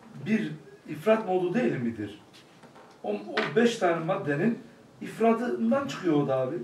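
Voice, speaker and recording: The speaker moves at a fairly slow pace with long, frequent pauses and very wide pitch swings, over noticeable background noise. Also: man, high pitch for a man. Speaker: study circle participant. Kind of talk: group discussion.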